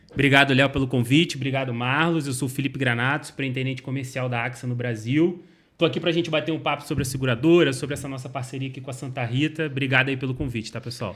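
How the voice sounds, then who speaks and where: Speaking very fast with hardly any pauses, a man with a Rio de Janeiro accent keeps a medium pitch and fairly even intonation. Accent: carioca. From Rio de Janeiro, Brazil. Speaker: insurance company sales executive. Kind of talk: interview answers.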